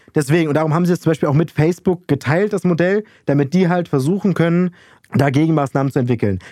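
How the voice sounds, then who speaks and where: A man's very fast speech at a fairly high pitch in a dark, mellow tone, with ordinary pitch variation, very even loudness and a dry, close sound with no echo. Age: 20s. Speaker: student radio podcast host. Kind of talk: casual chat. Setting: recording remotely from separate location.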